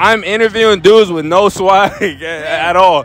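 A man speaks at a fairly slow pace, high in pitch with a fairly bright tone. His pitch varies in an ordinary way over faint background noise.

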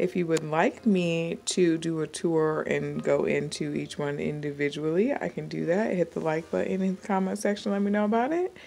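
With faint music in the background, a woman talks at a moderate pace with hardly any pauses. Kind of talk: casual vlog chat. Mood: cheerful, laughing. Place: shop. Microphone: phone near.

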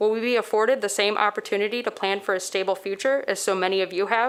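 The intonation is flat and monotone. The pace is fairly quick. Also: woman. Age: young. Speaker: public commenter, climate activist. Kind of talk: prepared public comment. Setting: city commission meeting. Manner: formal.

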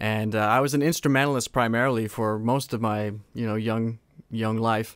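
A man with a normal speaking voice and a Canadian accent, medium pitch, fairly even intonation, and a moderate pace. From Saskatchewan, Canada. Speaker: a cappella singer. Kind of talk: casual interview. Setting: video call.

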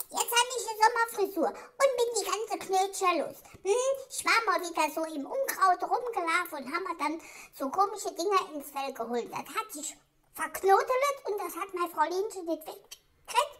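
Someone uses a put-on character voice pitched extremely high. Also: moderate pace. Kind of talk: comedic pet voice-over monologue. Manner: indignant, chatty.

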